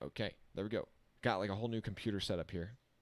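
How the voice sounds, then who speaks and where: A man is speaking. His pace is very fast. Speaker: motorsport livestream commentator. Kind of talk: live commentary. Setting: college dorm room.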